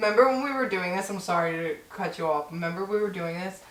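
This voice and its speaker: A woman at a medium pitch varies it in an ordinary way, with noticeable noise in the background and room echo audible. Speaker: podcast co-host. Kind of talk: casual chat.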